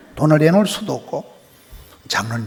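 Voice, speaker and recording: Amid noticeable background noise, a man speaks at a very fast pace in a fairly high pitch with very wide pitch swings. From rural South Korea. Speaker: guest revival preacher. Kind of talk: sermon. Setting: church. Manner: animated.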